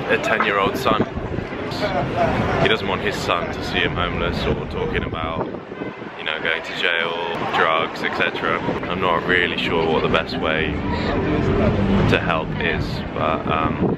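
Loud background noise surrounds a man talking at a fairly slow pace. He leaves long, frequent pauses, and his pitch varies in an ordinary way. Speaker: vlogger. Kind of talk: casual vlog chat. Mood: reflective, somber. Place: street. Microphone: phone near.

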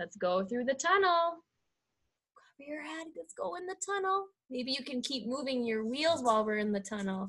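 A woman talks with very wide pitch swings. Her tone is bright and sharp, and the background is quiet. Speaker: preschool teacher. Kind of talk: children's circle-time instruction. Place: home room. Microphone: webcam.

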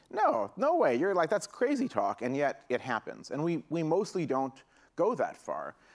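A man keeps a moderate pace, with only quiet in the background. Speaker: keynote speaker. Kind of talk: keynote talk. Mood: joking, playful. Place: stage. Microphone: headset.

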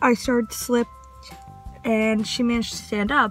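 Faint music plays behind a woman speaking at a moderate pace. Her voice sounds dry, with no echo. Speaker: vlogger. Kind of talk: casual vlog chat. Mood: chatty, storytelling. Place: car. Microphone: phone near.

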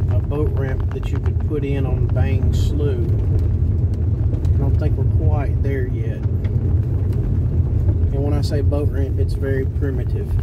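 Over loud background noise, a man talks at a fairly slow pace, leaving long, frequent pauses. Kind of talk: casual narration while driving. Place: car. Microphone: phone near.

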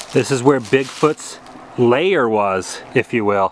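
Light background noise sits under a man speaking at a very slow pace, the sound dry with no echo. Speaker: travel vlogger. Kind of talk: casual vlog tour narration. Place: forest. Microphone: phone near.

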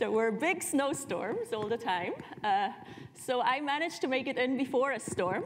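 Her intonation is lively as the woman talks. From Switzerland. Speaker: professor. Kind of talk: session introduction speech. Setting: stage with audience. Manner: hesitant, many fillers. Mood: warm, personal, smiling. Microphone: lapel.

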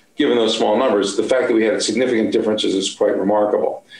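A man is speaking. Room echo is audible. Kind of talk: interview answer. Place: office. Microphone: webcam.

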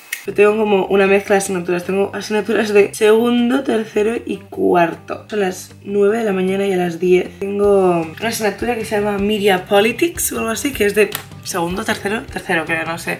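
Faint music plays behind a woman who talks fairly quickly with hardly any pauses and ordinary pitch variation. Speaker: vlogger. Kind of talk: casual vlog chat. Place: home room. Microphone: phone near.

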